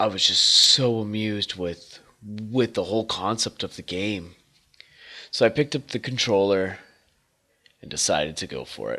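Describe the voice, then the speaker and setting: A man speaks with a bright, sharp tone. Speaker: retro gaming YouTuber. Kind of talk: casual talk to camera, nostalgic game retrospective.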